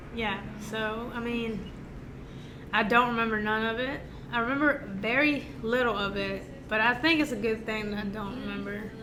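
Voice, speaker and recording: Speaking at a moderate pace, a woman uses a fairly high pitch and fairly even intonation, with long, frequent pauses. Audible room echo and noticeable background noise are present. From Mexico City, raised in Georgia, US South. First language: Spanish. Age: 30s. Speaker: business owner. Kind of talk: casual chat.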